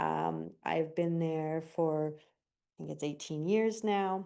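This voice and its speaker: A woman speaks with a Canadian accent in a fairly low pitch and a dark, mellow tone. The background is quiet. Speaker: resident delegate at council meeting. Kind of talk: public delegation statement. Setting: council chamber with gallery. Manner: loud.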